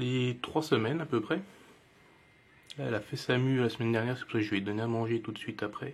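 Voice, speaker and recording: A man with a Jura accent talks at a medium pitch, leaving long, frequent pauses. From Jura, eastern France. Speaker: reptile keeper YouTuber. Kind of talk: casual video presentation. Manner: hesitant, many fillers.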